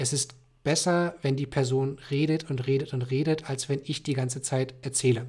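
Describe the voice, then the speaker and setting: Recorded very cleanly over a silent background, a man speaks in a fairly high, somewhat breathy voice. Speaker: sales development representative. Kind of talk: casual chat.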